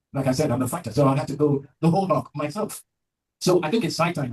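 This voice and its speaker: An animated, somewhat breathy man's voice with a fairly high pitch and ordinary pitch variation. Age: 70s. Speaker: prostate cancer survivor. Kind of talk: interview.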